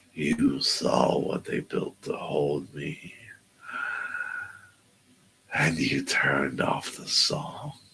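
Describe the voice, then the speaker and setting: A man performs a put-on character voice with a menacing tone, very deep and low, speaking at a very slow pace with long, frequent pauses. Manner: menacing, accusing.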